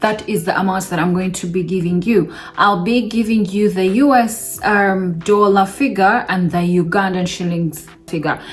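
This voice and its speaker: Amid noticeable background noise and audible room echo, the voice keeps a fairly even intonation at a moderate pace. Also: woman, medium pitch for a woman. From Uganda. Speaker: vlogger. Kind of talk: casual vlog talk to camera.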